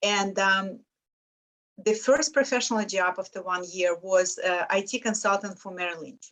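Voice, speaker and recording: A woman speaks with a Lithuanian accent. Her loudness swings widely. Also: medium pitch for a woman, ordinary pitch variation, moderate pace. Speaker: financial independence mentor. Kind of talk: interview testimony.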